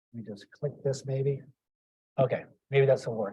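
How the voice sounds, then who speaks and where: A man speaks with a slight Boston accent. His voice is somewhat breathy. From Boston, US. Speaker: cardiac ultrasonography program director, lecturer. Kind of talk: lecture.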